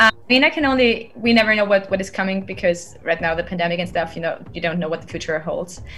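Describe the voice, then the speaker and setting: A woman with a German accent talks at a very fast pace with lively intonation and hardly any pauses. Noticeable background noise is present. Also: medium pitch for a woman. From Austria (Styria). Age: 30s. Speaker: singer and producer. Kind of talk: interview. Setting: at home, remote call.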